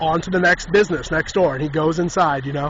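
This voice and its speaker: Noticeable background noise surrounds a man with an animated tone. He talks fairly quickly with lively intonation. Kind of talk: casual storytelling monologue. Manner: fast.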